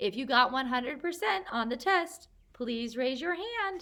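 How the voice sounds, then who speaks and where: Using a put-on character voice, a woman speaks high for her sex at a moderate pace, her pitch swinging very widely. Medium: read story.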